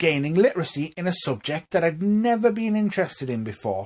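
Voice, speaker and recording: A man with a Newcastle accent, very wide pitch swings, in a very clean recording with a silent background. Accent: Newcastle (Geordie). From northern England, Newcastle. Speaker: vlogger. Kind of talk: casual monologue to camera. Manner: rising intonation at phrase ends.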